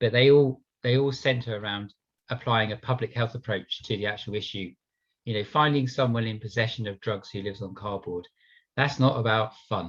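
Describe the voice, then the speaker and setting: A somewhat breathy voice speaks at a fairly quick pace in a passionate tone with fairly even intonation. The background is quiet. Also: man, medium pitch for a man. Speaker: police officer. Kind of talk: panel discussion.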